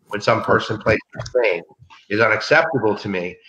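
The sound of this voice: Room echo is audible as a man speaks at a moderate pace in a bright, sharp tone with ordinary pitch variation.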